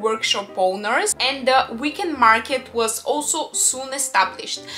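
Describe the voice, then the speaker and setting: Faint music plays somewhere behind. Over it, a woman talks. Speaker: travel vlogger. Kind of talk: travel guide talk to camera. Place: home room.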